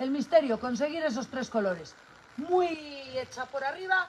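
Against light background noise, a woman with a high pitch speaks at a moderate pace in an animated tone with lively intonation. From Cantabria, Spain. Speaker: cattle farmer; host. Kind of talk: livestream chat. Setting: on a farm. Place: farm. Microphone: camera far.

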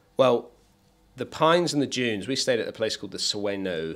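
At a moderate pace, a man speaks with a fairly bright tone and ordinary pitch variation.

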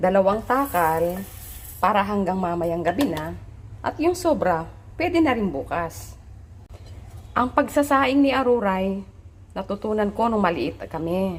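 The pitch swings very widely at a fairly slow pace. Long pauses come often. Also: woman, medium pitch for a woman. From Philippines, provinces. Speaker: vlogger. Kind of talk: cooking vlog. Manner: casual, conversational.

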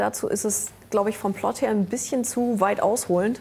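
With light background noise, a woman speaks in a plain, everyday voice, her fairly high pitch carrying fairly even intonation at a moderate pace. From Germany. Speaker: comic artist and musician; comic artist. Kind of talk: casual chat. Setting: studio with audience. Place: studio. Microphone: lapel.

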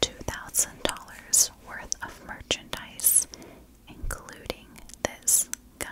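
Very slowly, a woman speaks in a whisper. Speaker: true crime narrator. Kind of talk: storytelling narration. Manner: soft, hushed close-mic storytelling. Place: home room. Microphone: studio mic.

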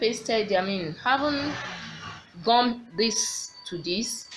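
Over music in the background, a woman talks at a very slow pace with lively intonation. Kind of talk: tutorial. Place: workshop. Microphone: phone near.

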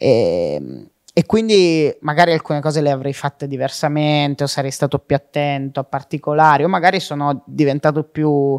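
A man's fairly high voice, dry and close with no echo, on a very clean recording with a silent background. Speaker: comedian and content creator. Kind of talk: casual interview.

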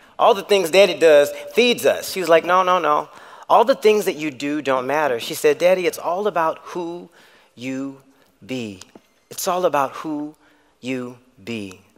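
This man talks at a moderate pace with lively intonation, long and frequent pauses, and big swings in loudness against a quiet background. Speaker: conference speaker. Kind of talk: storytelling talk. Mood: warm, smiling. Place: stage. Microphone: headset.

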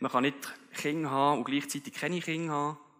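At a very fast pace, a man speaks in a bright, sharp tone with ordinary pitch variation over a quiet background. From Switzerland. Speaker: keynote speaker. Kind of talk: motivational keynote speech. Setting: live event venue. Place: stage. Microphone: headset.

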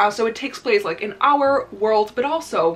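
A woman speaks with a Dutch accent at a moderate pace, with ordinary pitch variation. Faint music plays in the background. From Netherlands. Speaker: book YouTuber. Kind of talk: casual vlog chat. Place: home room.

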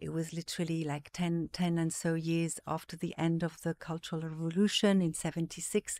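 Her voice is fairly low for a woman, with monotone, flat intonation. She keeps a moderate pace with hardly any pauses. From various African countries, Zimbabwe-born, Swiss parents. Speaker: art market executive. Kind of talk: casual interview. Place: studio. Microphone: studio mic.

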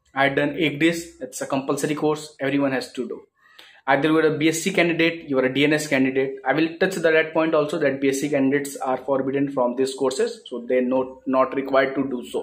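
The pace is fairly quick. The intonation stays fairly even. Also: man. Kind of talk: casual vlog chat. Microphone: phone near.

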